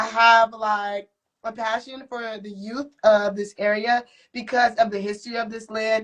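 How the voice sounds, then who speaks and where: A woman with an American accent speaks in a fairly high pitch and a flat monotone, her loudness swinging widely. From Ohio, US Midwest. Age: 20s. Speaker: henna artist and student. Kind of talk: casual interview chat. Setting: live-streamed interview at community event.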